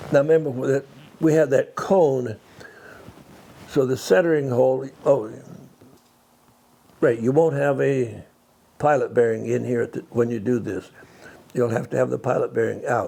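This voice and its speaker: With a dark, mellow tone and medium pitch, a man speaks at a moderate pace with ordinary pitch variation and long, frequent pauses. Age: 90s. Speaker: vintage car mechanic teaching restoration. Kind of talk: hands-on tutorial. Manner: halting, with repeated words and self-corrections. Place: workshop.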